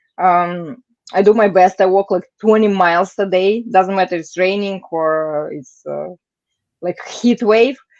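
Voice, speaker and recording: Against a quiet background, a woman with a Russian accent talks at a fairly slow pace and a medium pitch, her intonation fairly even and her loudness swinging widely. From Moldova and Moscow, Russia. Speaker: painter and political canvasser. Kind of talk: interview. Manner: halting, many fillers.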